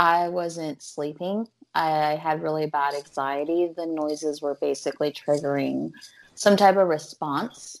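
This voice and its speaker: A woman speaks with an American accent in a very deep, low voice. Her intonation is fairly even and her pace fairly slow. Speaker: stand-up comedian.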